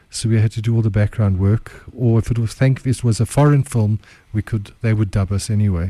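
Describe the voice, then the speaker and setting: Breathing somewhat breathily through a dark, mellow tone, a man with a fairly low pitch speaks at a fairly quick pace with fairly even intonation, in a dry, close sound with no echo. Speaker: entrepreneur and chef. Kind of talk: casual radio interview. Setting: radio studio.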